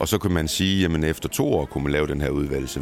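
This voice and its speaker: With music in the background, a man talks at a moderate pace in a very deep, low pitch with ordinary pitch variation. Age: 40s. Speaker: national pony show jumping coach. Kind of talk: interview. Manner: hesitant, many fillers.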